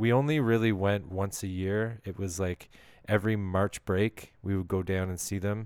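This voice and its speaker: A man with a Canadian accent at a fairly low pitch, moderate pace and fairly even intonation, in a very clean recording with a silent background. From Canada. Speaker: podcast host. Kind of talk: personal storytelling monologue.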